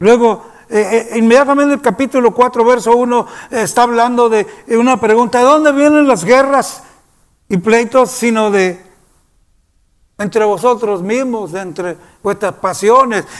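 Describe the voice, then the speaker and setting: An extremely high-pitched man speaks at a moderate pace with ordinary pitch variation and long, frequent pauses. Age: 70s. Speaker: pastor. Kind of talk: sermon. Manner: halting.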